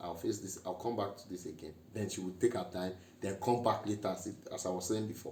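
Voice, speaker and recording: A man with a fairly low pitch speaks at a fairly quick pace, somewhat breathy. Audible room echo fills the recording. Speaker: married couple vlogger. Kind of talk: casual chat.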